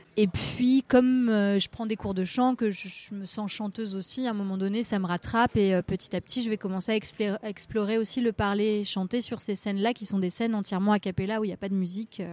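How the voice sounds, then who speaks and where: A woman speaks at a moderate pace with a medium pitch and a dark, mellow tone. Her intonation is fairly even, and the recording is very clean with a silent background. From Brittany, Rennes area. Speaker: singer. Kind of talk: interview. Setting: café. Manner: halting.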